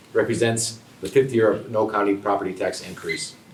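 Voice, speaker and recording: A man with an American accent speaks at a fairly quick pace. Noticeable background noise and audible room echo accompany him. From upstate New York, Rotterdam. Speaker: political candidate. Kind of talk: candidate forum speech. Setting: public forum room, no microphones. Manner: loud.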